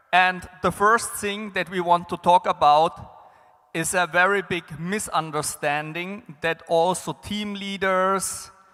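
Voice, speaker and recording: A man speaks very slowly in a high voice with fairly even intonation, music playing in the background. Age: 40s. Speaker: business development consultant, conference speaker. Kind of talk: conference panel talk.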